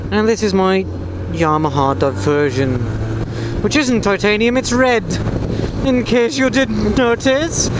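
A man is speaking over loud background noise. The sound is dry, with no echo. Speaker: motorcycle rider vlogger. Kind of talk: casual vlog chat. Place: motorbike. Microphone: lapel.

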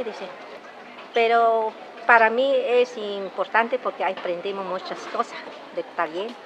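Amid noticeable background noise, a woman with a fairly high pitch speaks at a very slow pace. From Hidalgo, Mexico. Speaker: healer and NGO co-leader. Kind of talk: interview answer. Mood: earnest, at times smiling.

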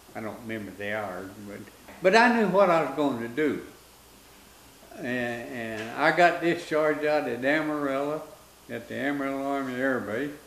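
A man in a West Texas accent, with a fairly high pitch, uses lively intonation, big swings in loudness and long, frequent pauses. Light background noise and audible room echo are present. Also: moderate pace. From Texas Panhandle. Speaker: war veteran. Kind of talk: interview answer. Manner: folksy, hesitant storytelling. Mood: relaxed, reminiscing. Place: home room.

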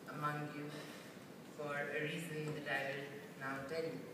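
Loud background noise and audible room echo fill the clip. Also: man. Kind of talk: acceptance speech. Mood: grateful, earnest. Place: hall. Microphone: pa.

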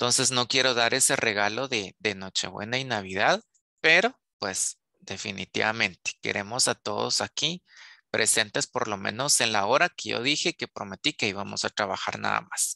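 Against a quiet background, a man with medium pitch and vocal fry talks with lively intonation and a bright, sharp tone, the sound dry with no echo. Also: moderate pace. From Guatemala. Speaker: university lecturer. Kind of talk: online lecture. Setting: video call. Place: home room. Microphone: headset.

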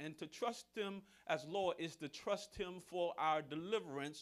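This man has a high-pitched voice with ordinary pitch variation. He talks at a fairly slow pace against a quiet background. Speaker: pastor. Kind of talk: sermon. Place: church.

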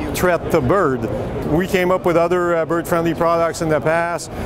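A man with a high pitch and fairly even intonation, in a dry sound with no echo over noticeable background noise. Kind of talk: interview answer. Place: hall. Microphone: lapel.

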